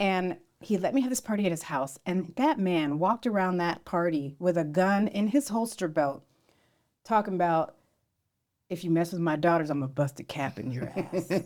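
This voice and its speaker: Spoken with an American accent in an unremarkable speaking voice, this clip moves at a moderate pace with lively intonation, and the recording is very clean against a silent background. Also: woman, fairly low pitch for a woman. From US West Coast, San Jose area. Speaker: podcast co-host. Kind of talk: casual chat.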